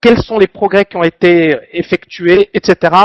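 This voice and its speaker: A man is talking. He keeps his intonation fairly even. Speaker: trading coach. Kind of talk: webinar presentation. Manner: fast; hesitant fillers.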